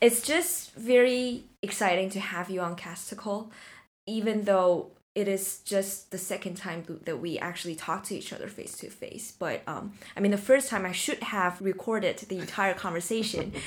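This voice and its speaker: A woman with a Chinese accent talks at a moderate pace in a medium pitch, with ordinary pitch variation and big swings in loudness. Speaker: podcast host. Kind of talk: interview.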